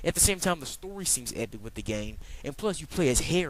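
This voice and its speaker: With vocal fry and a medium pitch, a man talks at a fairly quick pace, his pitch swinging very widely. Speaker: video game reviewer. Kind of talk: casual video game review. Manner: fast; animated.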